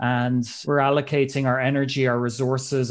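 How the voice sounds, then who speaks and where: A man at a medium pitch, with monotone, flat intonation. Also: very clean recording, silent background. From Ireland. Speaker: public health specialist and investment team member. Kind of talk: casual interview.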